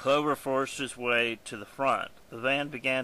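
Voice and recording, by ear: Read aloud in a natural voice, the passage keeps a fairly even intonation.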